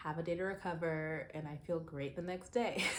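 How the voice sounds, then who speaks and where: Audible room echo accompanies a woman whose intonation stays fairly even. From US Southwest (Phoenix, Arizona), born in Zimbabwe. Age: 30s. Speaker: lifestyle vlogger. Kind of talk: personal vlog monologue. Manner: casual, conversational with fillers.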